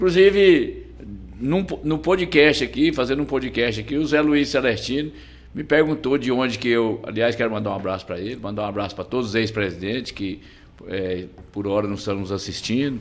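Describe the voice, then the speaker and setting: Here is a man with a normal speaking voice and a medium pitch. His intonation is lively and his pace moderate. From Brazil, Goiás (Goianésia). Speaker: business association president. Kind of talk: podcast interview.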